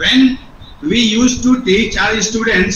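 In a room with audible echo and light background noise, a man speaks at a fairly slow pace in an extremely high pitch with ordinary pitch variation. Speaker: biology teacher. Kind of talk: group discussion. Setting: video call. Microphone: video call.

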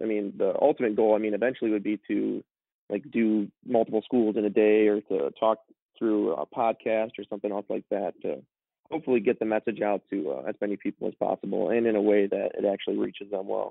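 A man with a plain, everyday voice speaks at a fairly quick pace, fairly low in pitch with ordinary pitch variation. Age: 20s. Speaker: logistics professional and stand-up comedian. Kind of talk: interview answer.

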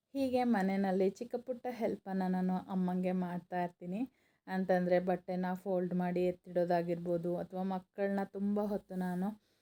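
A woman with a dark, mellow tone speaks at a medium pitch with fairly even intonation, the sound dry and close with no echo. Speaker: vlogger. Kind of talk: vlog voice-over. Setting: at home.

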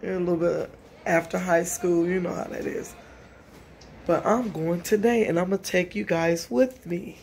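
This woman has an unremarkable speaking voice, fairly low in pitch with fairly even intonation. She talks at a fairly slow pace against light background noise. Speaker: vlogger. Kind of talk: casual vlog chat. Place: home room.

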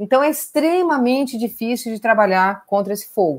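Lively intonation at a moderate pace. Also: woman. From Brazil, Pantanal region; Brazil. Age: 40s. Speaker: veterinarian and wildlife conservation researcher; biologist lecturer. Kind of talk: online lecture. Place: home room. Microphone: webcam.

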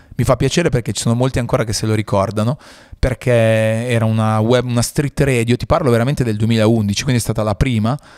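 At a very fast pace, a man talks at medium pitch with fairly even intonation in a dry, close sound with no echo. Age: 30s. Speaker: podcast host and radio presenter. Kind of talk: casual interview chat. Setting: studio.

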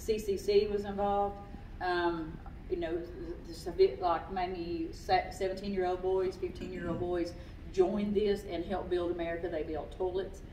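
Amid audible room echo and light background noise, a woman speaks at a moderate pace in a monotone, flat way. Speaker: naturalist. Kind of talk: local history talk with slides. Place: hall. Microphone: camera far.

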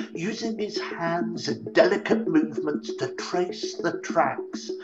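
At a fairly slow pace a man talks while clear music plays behind him. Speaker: storyteller. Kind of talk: narrated essay talk. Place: home room. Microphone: webcam.

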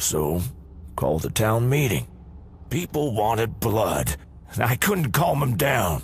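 A man of medium pitch does a put-on character voice at a fairly slow pace, with very wide pitch swings and very even loudness. Long pauses come often, and background noise is clear. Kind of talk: video game dialogue.

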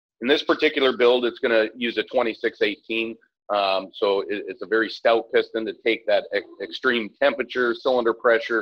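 A man talks at a fairly quick pace with hardly any pauses. The background is quiet. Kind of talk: interview answer. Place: workshop.

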